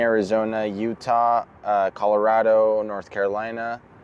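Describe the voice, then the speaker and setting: Speaking with a Spanish accent, a man talks at a fairly slow pace and a medium pitch. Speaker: circus performer. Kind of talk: interview. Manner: hesitant, repeats words.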